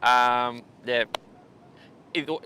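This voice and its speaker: A man with a Spanish accent and a bright, sharp tone. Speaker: surf coach. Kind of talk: live stream interview. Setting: beach bar used as studio. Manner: halting.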